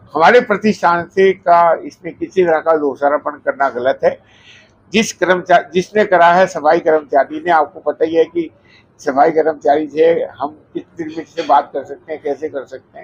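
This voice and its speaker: Ordinary pitch variation paired with big swings in loudness. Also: man, high pitch for a man. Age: 70s. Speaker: restaurant owner. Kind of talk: media statement.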